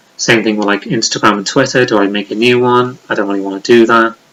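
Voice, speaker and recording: Here a man with a Liverpool accent talks at a fairly quick pace. His pitch is medium and his intonation fairly even. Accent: Liverpool (Scouse) English. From Liverpool, England. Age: 30s. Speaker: YouTuber. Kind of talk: casual vlog monologue. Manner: rambling, unscripted with hesitations.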